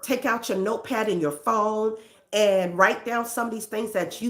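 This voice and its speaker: Here a woman speaks with a New York accent. Her pitch is fairly high. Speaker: counselor and self-help host. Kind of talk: self-help talk.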